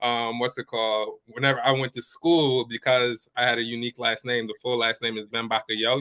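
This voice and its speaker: A man with a New York accent, medium-pitched and flat in a monotone, at a fairly quick pace with hardly any pauses. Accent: New York American. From New York, US (born Ivory Coast). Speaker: business coach. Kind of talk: interview.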